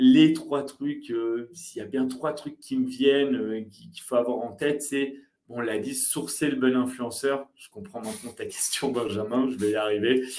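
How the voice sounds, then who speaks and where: At a fairly slow pace with hardly any pauses, a man talks in a medium pitch, showing ordinary pitch variation and big swings in loudness. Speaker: marketing agency founder, video content expert. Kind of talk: live webinar talk with Q&A. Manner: animated.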